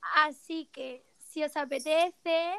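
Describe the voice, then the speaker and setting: A woman speaks in a monotone, flat intonation, with a dry, close sound and no echo. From Málaga, Andalusia, Spain. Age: 20s. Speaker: podcast co-host, fashion stylist. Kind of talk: casual chat.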